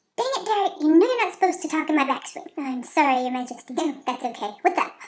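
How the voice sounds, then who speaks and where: A woman uses a put-on character voice that is squeaky and extremely high-pitched, talking at a very fast pace. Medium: read story.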